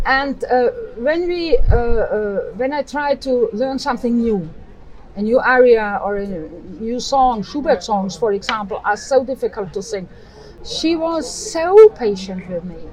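A woman in an Austrian accent, high-pitched, with very wide pitch swings and a fairly slow pace, with crowd noise in the background. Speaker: choir director and singer. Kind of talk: casual interview. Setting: outdoor cafe by harbor.

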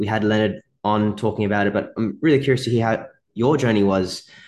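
With an Australian accent, a man talks at a medium pitch and a moderate pace. The background is quiet. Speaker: podcast host and physiotherapy mentor. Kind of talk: casual interview chat. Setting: video call.

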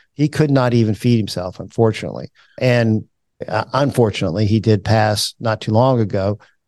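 In a plain, everyday voice, a man at medium pitch talks at a fairly quick pace, recorded in a dry, close sound with no echo over a quiet background. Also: ordinary pitch variation. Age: 60s. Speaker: financial advisor and podcast host. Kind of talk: casual chat. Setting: office.

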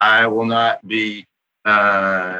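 A man speaks with a Kentucky accent and fairly even intonation. The sound is dry and close, with no echo. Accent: Southern US (Kentucky). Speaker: head of HR. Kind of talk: interview conversation. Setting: studio.

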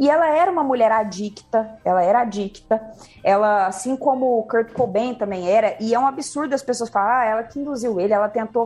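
A woman speaks at a fairly quick pace with a fairly high pitch. She has an ordinary speaking voice with ordinary pitch variation. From Minas Gerais, Brazil (Uberlândia). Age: 30s. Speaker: music journalist. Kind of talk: casual chat.

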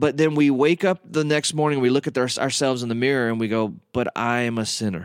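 A man speaks with a Southern US accent. The sound is dry and close with no echo, on a very clean recording with a silent background. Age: 40s. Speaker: radio host and minister. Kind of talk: teaching talk. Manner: casual, with many fillers.

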